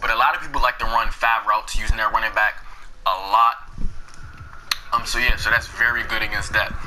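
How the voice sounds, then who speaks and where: A man talks very fast while noticeable background noise fills the recording. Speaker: gaming youtuber. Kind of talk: tutorial. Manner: halting.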